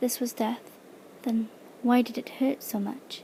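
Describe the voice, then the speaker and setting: Soft-spoken whispering moves at a fairly slow pace. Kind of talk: audiobook-style reading of a fantasy novel in ASMR style. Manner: soft-spoken, whispered.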